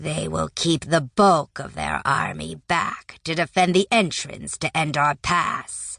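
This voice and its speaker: In a put-on character voice, the speaker growls at a fairly slow pace with hardly any pauses. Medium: read story. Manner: impatient, eager for battle.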